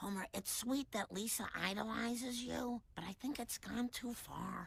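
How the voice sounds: A female-sounding voice in a cartoonish character voice, pitched fairly high. She speaks at a moderate pace over light background noise.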